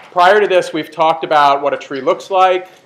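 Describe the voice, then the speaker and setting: Loud and high-pitched, a man talks with fairly even intonation. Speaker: university lecturer. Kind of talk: lecture.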